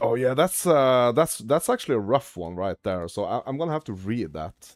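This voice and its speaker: The pace is moderate, with very wide pitch swings. The sound is dry and close, with no echo. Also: man, medium pitch for a man. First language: not English. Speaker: gaming streamer. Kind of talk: casual live-stream chat. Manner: halting, stumbling over pronunciation.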